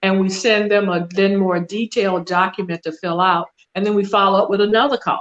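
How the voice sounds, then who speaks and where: Here a woman speaks at a fairly quick pace, medium in pitch. It is a normal speaking voice. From US South. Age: 60s. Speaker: wealth and trust consultant. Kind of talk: interview.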